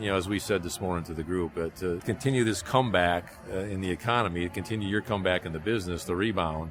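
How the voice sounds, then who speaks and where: Through noticeable background noise, a man speaks at a very fast pace. His pitch is very deep and low, and his intonation fairly even. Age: 60s. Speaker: flooring buying group executive. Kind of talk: interview. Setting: industry conference.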